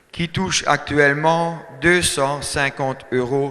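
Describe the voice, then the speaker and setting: Over noticeable background noise, a man with a German accent speaks at a very slow pace in a fairly high pitch. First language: German (speaking French). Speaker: dairy farmer, farmers' union speaker. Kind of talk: speech at a meeting. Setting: hall with audience. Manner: halting, many hesitations.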